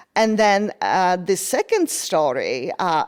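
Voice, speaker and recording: A woman with a Polish accent speaks at a medium pitch on a very clean recording with a silent background. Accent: Polish accent, noticeable. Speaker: design manager. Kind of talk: podcast interview.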